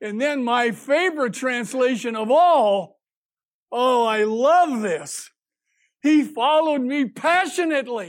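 In a very clean recording with a silent background, a man with an extremely high pitch speaks at a very slow pace with lively intonation. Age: 80s. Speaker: lay preacher. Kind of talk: sermon. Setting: church. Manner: humorous, casual.

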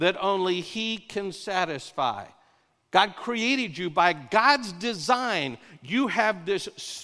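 Ordinary pitch variation marks this unforced reading voice.

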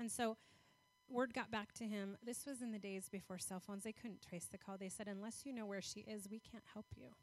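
Delivery is at a fairly quick pace in a normal speaking voice. Intonation stays fairly even. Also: woman, medium pitch for a woman. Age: 40s. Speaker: guest speaker for a foster care charity. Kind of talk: sermon.

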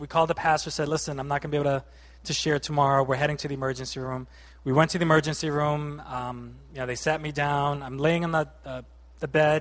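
A man with an unremarkable speaking voice, an American accent, a fairly high pitch, and a fairly quick pace. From Boston, Massachusetts. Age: 30s. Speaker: lay preacher. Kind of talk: sermon. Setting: church.

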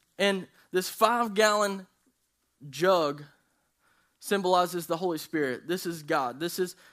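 The recording is very clean with a silent background, carrying a man's high-pitched voice. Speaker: youth pastor. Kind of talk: sermon. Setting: church service with congregation. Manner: animated, not monotone.

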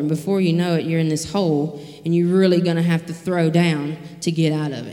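Amid noticeable background noise and audible room echo, a woman with a fairly low voice talks at a fairly quick pace in a monotone, flat way. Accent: Mississippi. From US South, rural Mississippi. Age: 20s. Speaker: recovery program staff member. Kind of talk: sermon.

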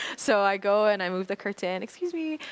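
A woman is speaking. Her voice sits at a medium pitch. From Maui, Hawaii. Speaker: ministry leader. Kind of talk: testimony.

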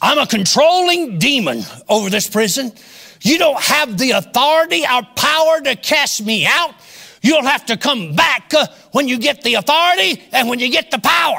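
Using a growling put-on character voice at an extremely high pitch, a man speaks at a moderate pace. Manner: growling, defiant.

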